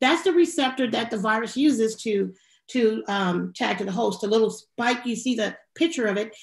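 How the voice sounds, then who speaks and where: A woman talks at a moderate pace and a fairly high pitch, her voice somewhat breathy. Her pitch variation is ordinary, and the background is quiet. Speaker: health professional panelist. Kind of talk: panel discussion. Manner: halting, many fillers.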